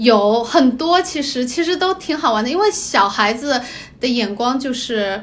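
Over noticeable background noise, a woman speaks at a fairly slow pace in a high pitch with very wide pitch swings. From Hong Kong, then Jinan, Shandong. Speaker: guest. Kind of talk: casual chat.

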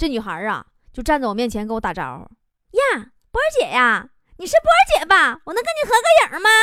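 Animated and bright with a sharp edge, this woman's high, raised, projected voice races along very fast, swinging very widely in pitch and greatly in loudness, broken by long, frequent pauses. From rural China, farming family. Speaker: radio host. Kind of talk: radio talk show monologue. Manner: animated, frequent laughter.

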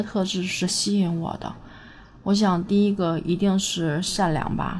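Room echo is audible as a woman speaks at medium pitch with fairly even intonation. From Northeast China. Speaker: vlogger. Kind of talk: casual monologue.

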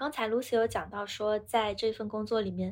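Fairly quick delivery on a very clean recording with a silent background. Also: woman. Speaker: podcast co-host. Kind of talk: casual chat.

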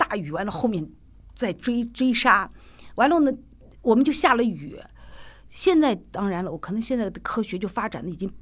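A woman speaks at a moderate pace with a strong Shaanxi accent, her fairly high pitch swinging very widely. Long pauses come often. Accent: strong Shaanxi-accented Mandarin. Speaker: theatre director and actor. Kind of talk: casual interview chat.

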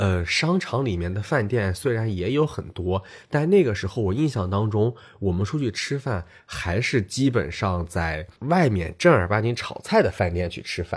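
On a very clean recording with a silent background, a man with a fairly low, somewhat breathy voice speaks at a moderate pace with very wide pitch swings. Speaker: podcast co-host. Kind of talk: casual chat.

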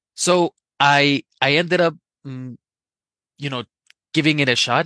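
The tone is bright and sharp, and the pace is fairly slow. The sound is dry and close, with no echo. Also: man. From Colombia. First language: Spanish (speaking Chinese). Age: young. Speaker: Spanish teacher. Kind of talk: personal anecdote. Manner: hesitant, with fillers.

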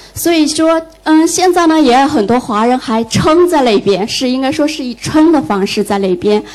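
A woman with a high voice and lively intonation talks at a moderate pace while noticeable background noise runs underneath. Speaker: audience member, former translator. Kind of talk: audience question.

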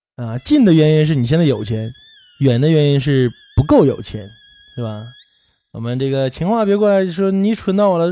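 Music plays in the background as a man talks at a fairly quick pace. His fairly high pitch moves in very wide swings. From Northeast China. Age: 30s. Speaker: podcast host. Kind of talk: casual monologue. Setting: livestream room.

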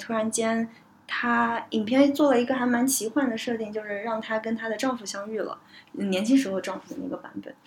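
A woman speaks with fairly high pitch and fairly even intonation. Her voice is somewhat breathy. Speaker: podcast host. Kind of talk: casual discussion podcast.

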